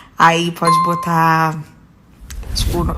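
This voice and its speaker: A woman's fairly low-pitched voice. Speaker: singer. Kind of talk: casual talk, celebrating. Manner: excited, upbeat.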